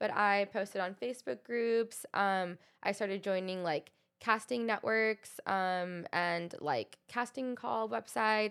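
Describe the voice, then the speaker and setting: A woman in an ordinary speaking voice speaks fairly slowly at a medium pitch with ordinary pitch variation and very even loudness, on a very clean recording with a silent background. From US South (Texas, Arkansas). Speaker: model and content creator. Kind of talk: interview.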